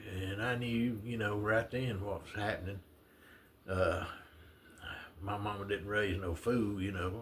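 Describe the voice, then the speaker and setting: With a Southern US accent, a man speaks at a fairly slow pace, leaving long, frequent pauses. His voice is fairly low with fairly even intonation, over noticeable background noise. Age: 70s. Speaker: retiree vlogger. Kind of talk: casual storytelling monologue. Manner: halting, many fillers.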